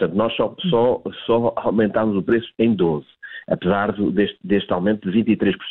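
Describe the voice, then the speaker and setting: A man speaks at a moderate pace in a fairly low voice, with very even loudness and ordinary pitch variation. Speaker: retail industry association director. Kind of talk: live news interview. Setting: live broadcast interview. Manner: halting, many repetitions and fillers.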